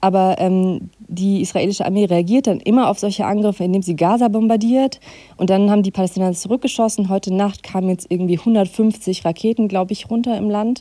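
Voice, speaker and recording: A woman's dark, mellow voice at a medium pitch, fairly quick in pace, with fairly even intonation. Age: 30s. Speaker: foreign correspondent. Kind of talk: interview.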